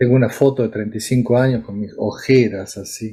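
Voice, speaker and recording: The man's tone is dark and mellow, with a somewhat breathy quality. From Argentina, Córdoba. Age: 70s. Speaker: psychiatrist. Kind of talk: interview.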